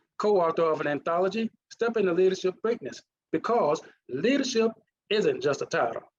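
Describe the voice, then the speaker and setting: Lively intonation marks a man speaking at a fairly quick pace with a Mississippi accent. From US South, Mississippi. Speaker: leadership consultant. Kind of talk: presentation.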